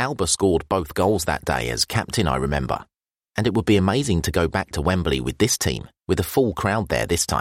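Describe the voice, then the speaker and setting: A man speaks in a very deep, low pitch with vocal fry. His pitch swings very widely. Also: fairly quick pace, dry, close sound with no echo, very clean recording, silent background. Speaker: matchday programme narrator. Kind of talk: reading aloud.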